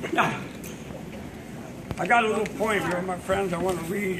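A man talks at a fairly quick pace. There is noticeable background noise. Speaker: auctioneer. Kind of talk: casual talk to audience. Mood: warm and folksy. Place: hall.

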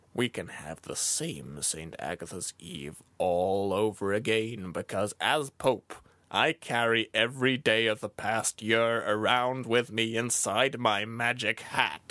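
A man at medium pitch with lively intonation, a fairly slow pace and big swings in loudness. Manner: odd, unusual way of speaking.

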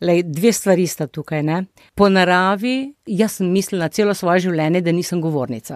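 A woman with a fairly low pitch speaks in a plain, everyday voice with ordinary pitch variation. The recording is very clean, with a silent background and a dry, close sound with no echo. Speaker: retired doctor and family organization founder. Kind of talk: interview.

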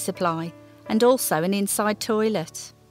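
With music in the background, a woman talks at a moderate pace and medium pitch with lively intonation. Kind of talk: heritage documentary narration.

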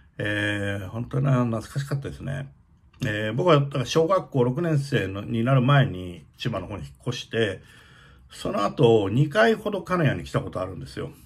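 At a moderate pace, the somewhat breathy voice moves through very wide pitch swings. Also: man, big swings in loudness. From Japan, Kagoshima (Kanoya); Japan. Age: 60s. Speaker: opera stage director. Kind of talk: casual monologue vlog. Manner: hesitant, many fillers. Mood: nostalgic, warm. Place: home room. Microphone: phone near.

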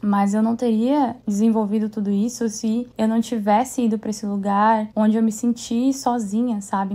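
A woman talks at a moderate pace with fairly even intonation and a somewhat breathy quality. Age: 30s. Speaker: podcast host and dance class owner. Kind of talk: casual solo monologue.

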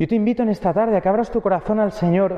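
Words come at a very fast pace with ordinary pitch variation. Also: man, high pitch for a man.

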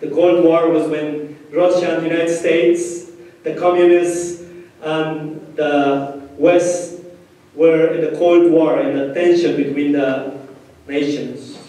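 Through strong room echo, a man with a Spanish accent and fairly high pitch speaks at a very slow pace. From Peru, Ayacucho region. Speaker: pastor. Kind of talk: sermon. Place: church.

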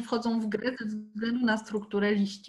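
The background stays quiet. Words come at a very slow pace. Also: woman. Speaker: botanical garden educator and moderator; meeting moderator. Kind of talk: moderating an online Q&A. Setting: video call. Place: home room. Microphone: laptop mic, no headset; video call.

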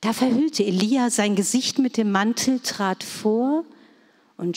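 A woman speaks at a very slow pace. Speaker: scripture reader. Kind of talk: reading aloud. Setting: church.

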